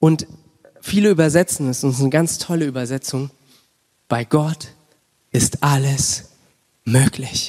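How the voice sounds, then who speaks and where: A man's fairly high, passionate voice at a fairly slow pace, with ordinary pitch variation and long, frequent pauses, in a dry, close sound with no echo. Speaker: pastor. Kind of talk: sermon with prayer. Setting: church. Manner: passionate, fervent; informal, mixes English words.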